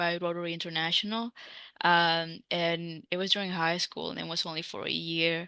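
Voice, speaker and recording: In an American accent, a woman with a fairly low pitch and a bright, sharp tone speaks at a moderate pace in a monotone, flat intonation over a quiet background. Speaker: language teacher and content creator. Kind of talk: casual interview. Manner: halting, many fillers.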